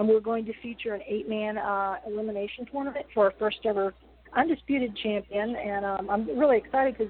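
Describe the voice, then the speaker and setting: Ordinary pitch variation at a fairly quick pace. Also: woman, fairly high pitch for a woman. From West Virginia. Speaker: wrestling promotion owner. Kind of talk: interview.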